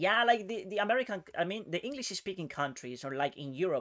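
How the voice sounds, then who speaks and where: In a Spanish accent, the speaker goes at a very fast pace on a very clean recording with a silent background. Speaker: chess streamer. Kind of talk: casual live-stream chat. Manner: casual.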